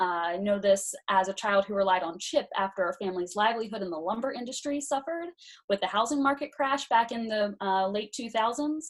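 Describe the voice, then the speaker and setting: The speaker has a Pennsylvania accent and lively intonation. The pace is fairly quick. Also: woman, fairly high pitch for a woman. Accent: Pennsylvania American English. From south-central Pennsylvania (Hanover, York County). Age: 20s. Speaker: congressional candidate. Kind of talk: campaign interview. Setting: online live video chat.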